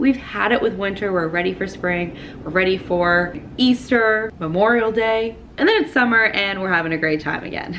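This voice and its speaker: Over noticeable background noise, a woman at medium pitch talks at a moderate pace in an upbeat tone with ordinary pitch variation. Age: 20s. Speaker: lifestyle vlogger. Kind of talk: casual vlog talk to camera. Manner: chatty, upbeat.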